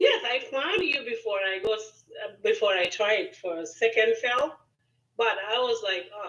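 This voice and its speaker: Moderate-paced speech from a woman with a non-native accent and very wide pitch swings. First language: not English. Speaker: student caller. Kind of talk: casual chat. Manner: halting.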